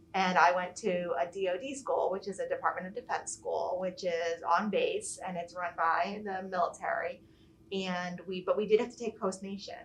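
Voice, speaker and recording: A woman with an American accent talks at a moderate pace in a plain, everyday voice. Her pitch is medium and her intonation fairly even. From Virginia Beach, US (childhood in England and Iceland). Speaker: school nurse. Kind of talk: casual interview chat.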